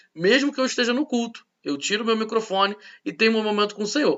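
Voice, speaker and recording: A man talks at a very fast pace. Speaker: pastor teaching a church course. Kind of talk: recorded church class lecture. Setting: recorded at home.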